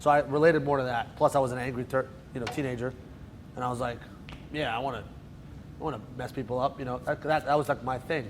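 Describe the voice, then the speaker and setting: At a very fast pace, a man with a New Jersey accent talks in a medium pitch, with long, frequent pauses. His intonation is monotone and flat. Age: 30s. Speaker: magician. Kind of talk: lecture. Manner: casual, joking.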